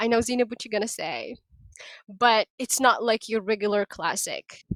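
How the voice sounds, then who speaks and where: With a non-native accent, a woman speaks at a moderate pace and fairly high pitch with fairly even intonation, in a dry, close sound with no echo. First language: not English. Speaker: podcast co-host. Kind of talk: casual chat.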